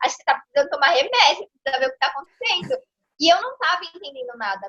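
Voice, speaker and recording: A woman projects a raised voice with a bright, sharp tone and very wide pitch swings. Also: dry, close sound with no echo. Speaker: lawyer and consciousness mentor. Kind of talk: interview. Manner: fast; animated.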